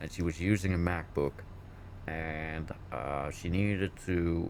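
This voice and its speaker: This man's voice sits very deep and low, with ordinary pitch variation. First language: Dutch. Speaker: IT worker at a school, gaming co-host. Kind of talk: casual chat. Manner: higher pitch in English.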